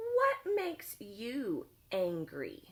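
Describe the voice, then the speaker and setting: Going extremely high for a woman, she performs a put-on character voice. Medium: read story.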